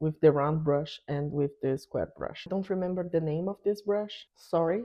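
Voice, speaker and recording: A woman's fairly low voice in a strong Brazilian accent, with ordinary pitch variation. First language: Portuguese. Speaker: art YouTuber. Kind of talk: product review tutorial.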